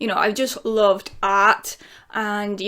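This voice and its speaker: Over noticeable background noise, a woman with a Lincolnshire accent talks at a moderate pace in a fairly high pitch. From England, Lincolnshire. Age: 30s. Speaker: YouTuber. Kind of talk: casual Q&A vlog.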